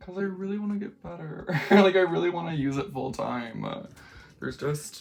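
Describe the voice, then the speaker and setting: A woman's fairly low voice with lively intonation at a moderate pace, with noticeable background noise. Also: big swings in loudness. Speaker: makeup vlogger. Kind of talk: casual makeup vlog. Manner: rambling, conversational with many fillers.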